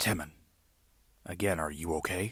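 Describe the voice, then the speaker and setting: Putting on a character voice, a man talks at a moderate pace with a very deep, low pitch. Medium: read story. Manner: authoritative.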